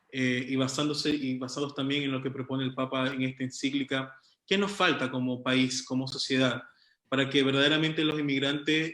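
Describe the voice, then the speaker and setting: A man with a non-native accent, fairly high pitch, moderate pace and monotone, flat intonation. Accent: noticeable foreign. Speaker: moderator. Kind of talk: panel discussion. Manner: halting, many fillers.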